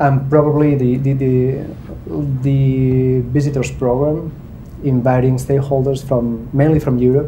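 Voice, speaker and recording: The speaker talks at a fairly slow pace in a monotone, flat intonation, with audible room echo. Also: man. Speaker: government public diplomacy representative. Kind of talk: panel discussion. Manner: halting.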